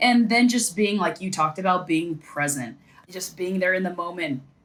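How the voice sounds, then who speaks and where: Speaking at a fairly quick pace, a woman uses a fairly low pitch with ordinary pitch variation. Noticeable background noise can be heard. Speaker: sideline reporter and former athlete. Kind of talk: podcast interview. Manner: fast.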